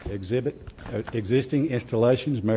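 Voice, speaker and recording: The man speaks at a moderate pace. His voice sits at a medium pitch and varies in an ordinary way. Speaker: city staff presenter on building codes. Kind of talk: presentation to city council. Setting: city council meeting. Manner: soft-spoken. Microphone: far from the mic.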